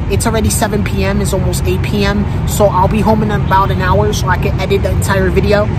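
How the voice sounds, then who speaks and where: A woman's voice, dry with no echo, with music in the background. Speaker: vlogger. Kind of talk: casual vlog chat. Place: street. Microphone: phone near.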